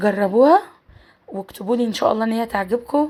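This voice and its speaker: A woman with a fairly high pitch speaks at a moderate pace, with noticeable background noise present. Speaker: cooking channel host. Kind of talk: cooking tutorial.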